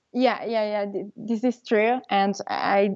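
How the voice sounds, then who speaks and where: With an Italian accent, a woman talks at a medium pitch and keeps her intonation fairly even. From Italy. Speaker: travel blogger. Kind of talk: interview. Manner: halting.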